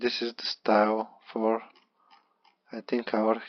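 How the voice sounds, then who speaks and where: A man of medium pitch with a Bulgarian accent, monotone and flat, at a very slow pace. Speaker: beginner web developer vlogger. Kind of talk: screen-recorded tutorial walkthrough. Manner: halting, with repetitions.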